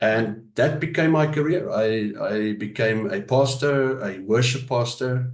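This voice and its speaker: A man speaks with a South African accent and ordinary pitch variation. Audible room echo surrounds his voice. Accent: South African Afrikaans. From South Africa, Johannesburg area. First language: Afrikaans. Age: 50s. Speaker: pastor. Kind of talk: interview. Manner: hesitant, many fillers.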